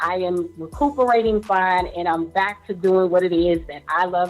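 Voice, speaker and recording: With an American accent, a woman speaks at a fairly low pitch and a moderate pace. Her pitch varies in an ordinary way, and music plays in the background. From USA. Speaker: radio show host. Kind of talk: radio show opening. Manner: upbeat.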